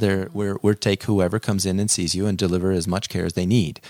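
Recorded dry and close with no echo, a man with an American accent uses an ordinary speaking voice at a fairly low pitch. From central Nevada, US. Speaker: family physician. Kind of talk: interview.

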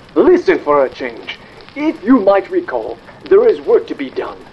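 At a moderate pace, a man puts on a high-pitched character voice with very wide pitch swings.

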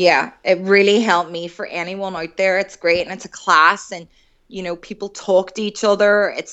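A woman with a medium pitch speaks in a Northern Irish accent. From Northern Ireland, Derry. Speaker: recovering alcoholic and artist. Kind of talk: interview.

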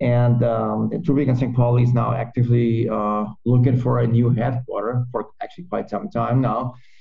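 At a moderate pace with hardly any pauses, a man speaks at a medium pitch in a somewhat breathy voice with fairly even intonation. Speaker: podcast host. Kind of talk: casual interview. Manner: halting.

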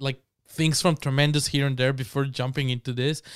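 In a very clean recording with a silent background, a man with a Spanish accent speaks at a fairly quick pace. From Mexico. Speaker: podcast guest. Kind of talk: casual chat.

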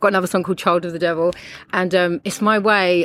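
A woman with a London accent speaks very fast in a fairly low pitch and fairly even intonation, recorded very cleanly against a silent background. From London, England. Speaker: musician. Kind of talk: casual chat. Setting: outdoors.

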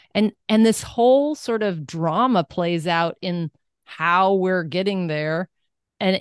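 A woman with a plain, everyday voice speaks at a medium pitch and a fairly slow pace, with ordinary pitch variation. The sound is dry and close with no echo, against a quiet background. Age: 50s. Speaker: wellness coach and entrepreneur. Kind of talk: interview conversation.

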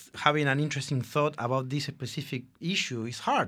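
A man speaks in a fairly high pitch with a Spanish accent. The recording is very clean, with a silent background. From Argentina. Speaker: advertising creative director. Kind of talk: casual interview.

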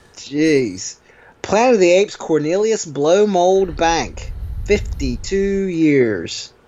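Over noticeable background noise, a man speaks very slowly at a high pitch with lively intonation. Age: 30s. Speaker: podcast co-host. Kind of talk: casual chat.

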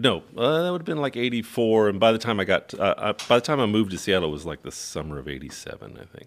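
A man's medium-pitched voice at a very fast pace with hardly any pauses, very wide pitch swings, big swings in loudness and vocal fry, on a very clean recording with a silent background. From military brat, US and New Zealand. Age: 50s. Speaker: tour manager and novelist. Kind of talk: casual chat. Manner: halting.

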